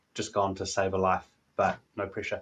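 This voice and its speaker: Against a quiet background, a man talks at a fairly quick pace with a New Zealand accent. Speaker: technology analyst and commentator. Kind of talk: keynote talk. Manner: halting, many fillers.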